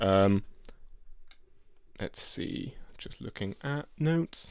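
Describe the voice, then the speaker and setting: At a very slow pace, a man with an English accent talks at a fairly low pitch, with very wide pitch swings. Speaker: podcast co-host. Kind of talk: casual chat. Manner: halting.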